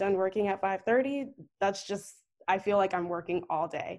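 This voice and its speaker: A woman with an American accent talks at a moderate pace in a plain, everyday voice, her pitch medium, on a very clean recording with a silent background. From US, Northern Virginia (DC area). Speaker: journalist. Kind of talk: casual interview.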